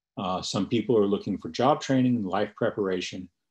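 A man with a normal speaking voice talks at a fairly low pitch with ordinary variation against a quiet background. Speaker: magazine writer and commentator. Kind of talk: invited talk with audience Q&A. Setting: online webinar call. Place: home room. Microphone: video call.

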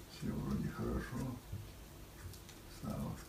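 Very slow speech with audible room echo and light background noise. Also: man. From Russia. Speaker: World War II veteran. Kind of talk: interview answer. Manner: slow, reflective. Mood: reflective, wistful. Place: home room. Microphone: camera far.

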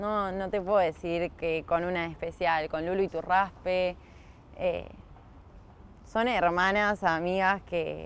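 The speech comes at a very slow pace with long, frequent pauses and fairly even intonation, in a dry sound with no echo. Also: woman. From Argentina, Canning (Buenos Aires province). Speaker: field hockey player. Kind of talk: interview. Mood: warm, smiling. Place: open country.

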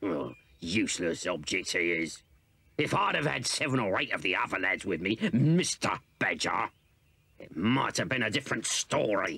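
A gruff male voice, fairly low in pitch, with very wide pitch swings. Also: moderate pace. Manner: blustering, scheming, bossy.

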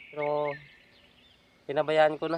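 A man is speaking amid noticeable background noise. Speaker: hunting vlogger. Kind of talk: vlog narration. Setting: outdoors.

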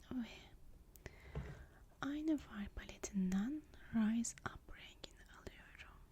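A woman whispers in a gentle tone at a very slow pace. Her pauses are long and frequent. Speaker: makeup artist (roleplay). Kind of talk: ASMR roleplay, soft-spoken makeup application. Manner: soft-spoken, gentle, whispery.

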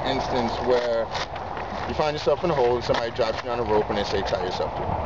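A man speaks with an American accent over loud background noise. The sound is dry, with no echo. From Baltimore, Maryland. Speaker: park ranger. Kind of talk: outdoor skills demonstration. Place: open country.

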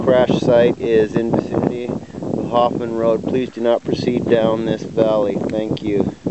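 A man speaks at a fairly slow pace over loud background noise. The sound is dry, with no echo. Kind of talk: casual vlog chat. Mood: awed, quietly respectful. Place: open country. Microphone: phone near.

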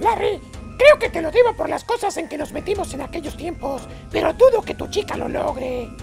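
Doing a put-on character voice at an extremely high pitch, a man talks at a fairly quick pace while clear music plays in the background.

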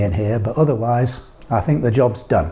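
Somewhat breathy, a man speaks at a moderate pace with ordinary pitch variation. His tone is dark and mellow. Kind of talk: casual vlog chat. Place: workshop. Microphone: lapel.

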